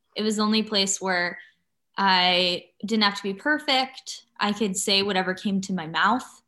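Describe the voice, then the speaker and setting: A woman with an unremarkable speaking voice talks at a moderate pace, at medium pitch with ordinary pitch variation, on a very clean recording with a silent background. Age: 30s. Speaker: actor and YouTuber. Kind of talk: casual chat.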